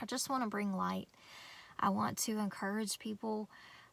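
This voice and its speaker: A woman speaks with a Southern US accent. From North Carolina. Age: 30s. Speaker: homestead vlogger. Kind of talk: casual vlog talk. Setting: in a van. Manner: casual, hesitant with fillers.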